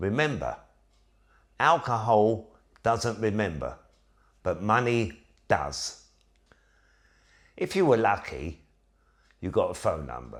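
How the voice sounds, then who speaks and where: Fairly low-pitched with vocal fry, a man speaks at a very slow pace with long, frequent pauses and very wide pitch swings. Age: 60s. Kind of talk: casual talk to camera.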